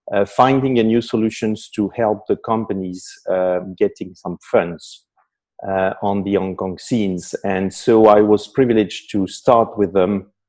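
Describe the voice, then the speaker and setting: A man with a French accent speaks at a fairly slow pace. His pitch is fairly low and his intonation fairly even. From France. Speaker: investment strategist. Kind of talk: panel discussion. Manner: hesitant with many fillers.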